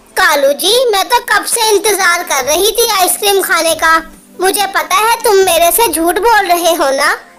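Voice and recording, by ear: At a moderate pace, a woman performs a cartoonish character voice at an extremely high pitch.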